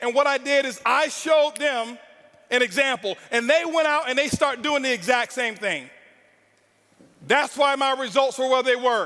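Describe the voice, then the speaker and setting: With an intense tone, a man speaks in a raised, projected voice at an extremely high pitch, with ordinary pitch variation. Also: moderate pace. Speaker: network marketing speaker. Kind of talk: motivational speech. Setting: stage with audience. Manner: loud.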